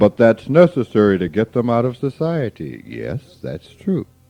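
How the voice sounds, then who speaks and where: Speaking at a fairly slow pace, a man swings his pitch very widely against noticeable background noise. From US South, rural Mississippi. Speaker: spiritual teacher. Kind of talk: informal spiritual talk.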